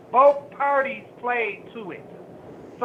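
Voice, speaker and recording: A woman with an American accent speaks in a high pitch with ordinary pitch variation, against noticeable background noise. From Buffalo, New York. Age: 50s. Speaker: sex worker rights advocate. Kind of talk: radio interview.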